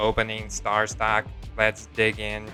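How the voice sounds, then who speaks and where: A man puts on a character voice at a fairly slow pace while clear music plays in the background. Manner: serious, monotone.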